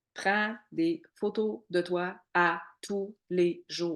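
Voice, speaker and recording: A woman with a Quebec accent speaks at medium pitch in an animated tone. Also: quiet background. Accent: Québécois French. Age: 40s. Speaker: network marketing coach. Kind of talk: online training workshop. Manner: loud, animated.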